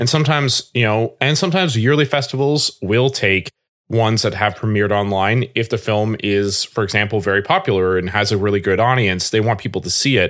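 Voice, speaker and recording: A man's plain, everyday voice, fairly low in pitch with ordinary pitch variation, at a fairly quick pace with hardly any pauses and very even loudness, in a very clean recording with a silent background. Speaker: filmmaker. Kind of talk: casual interview chat.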